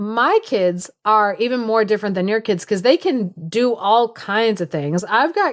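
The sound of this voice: The pitch moves in an ordinary way. It is an unforced reading voice.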